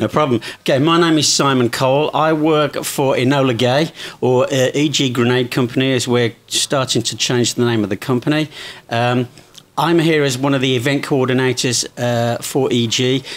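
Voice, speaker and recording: This man has an English accent and a medium pitch. His intonation is fairly even, and his loudness stays very even. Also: moderate pace. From England. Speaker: event coordinator for a smoke grenade company. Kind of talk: interview.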